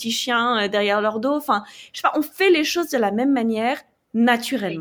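In a normal speaking voice, a woman talks at a moderate pace and a fairly high pitch. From France. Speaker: travel blogger and former journalist. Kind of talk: podcast interview.

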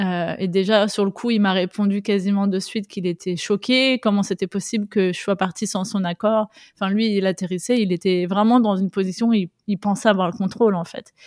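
Against a silent background in a very clean recording, a woman speaks at a fairly quick pace and medium pitch with fairly even intonation. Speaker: mother sharing personal story of abusive relationship. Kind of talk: testimony. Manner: halting.

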